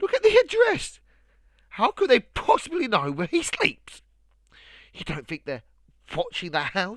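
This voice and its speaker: Using a shaky put-on character voice, the speaker keeps a moderate pace with long, frequent pauses in a very clean recording with a silent background. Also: man, extremely high pitch for a man. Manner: quivering, frightened.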